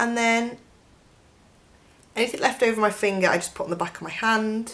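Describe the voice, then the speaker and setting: Moderate-paced speech from a woman, pitched fairly high, normal pitch variation, clearly audible background noise. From northern England (Cheshire). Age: 20s. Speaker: beauty vlogger. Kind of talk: makeup tutorial. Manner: casual, chatty.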